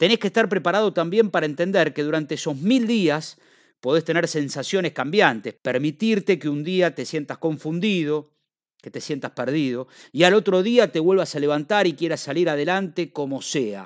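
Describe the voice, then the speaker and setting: A man at a moderate pace with lively intonation, in a very clean recording with a silent background and a dry, close sound with no echo. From Argentina. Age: 40s. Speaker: podcaster. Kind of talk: personal monologue.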